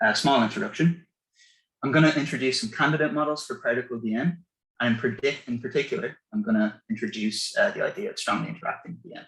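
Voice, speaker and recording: A man with an Irish accent, very fast, with very wide pitch swings. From Ireland. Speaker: physicist. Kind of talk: lecture. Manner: halting, many fillers.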